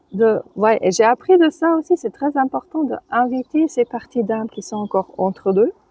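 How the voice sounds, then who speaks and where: Her pitch is high, with very wide swings. The woman keeps a moderate pace with hardly any pauses. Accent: German. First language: German (speaking French). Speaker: author and birth companion. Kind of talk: interview. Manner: halting.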